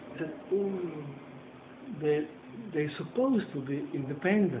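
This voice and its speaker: Moderate pace over noticeable background noise. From Europe. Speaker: interviewer and journalist. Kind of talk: casual chat.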